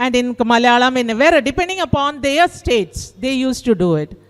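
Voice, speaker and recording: A woman talks in a high-pitched voice. She speaks with a South Indian accent. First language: Kannada. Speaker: teacher. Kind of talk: participant feedback speech. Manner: halting.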